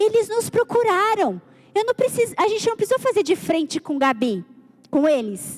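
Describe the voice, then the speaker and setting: A woman's extremely high voice at a moderate pace, with very wide pitch swings and very even loudness. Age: 40s. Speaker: church leader. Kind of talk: sermon.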